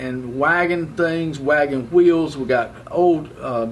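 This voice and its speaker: A man talks at a very slow pace with ordinary pitch variation. There is noticeable background noise. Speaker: auctioneer. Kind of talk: auction promo talk to camera. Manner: casual, enthusiastic.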